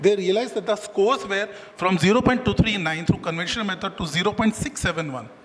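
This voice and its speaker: Over noticeable background noise, a man talks at a very fast pace with a high pitch and ordinary pitch variation. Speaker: doctor giving a medical talk. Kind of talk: lecture.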